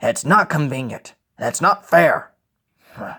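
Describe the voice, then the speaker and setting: Raspy and middle-pitched, this put-on character voice moves at a fairly slow pace. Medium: read story. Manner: nervous, stammering, deferential.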